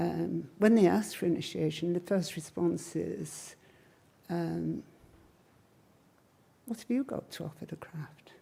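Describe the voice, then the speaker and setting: A woman with an English accent speaks at a fairly slow pace, with long, frequent pauses and big swings in loudness. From Cheshire, England. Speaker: witchcraft priestess and teacher. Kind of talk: live Q&A answers to an audience. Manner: casual, wry.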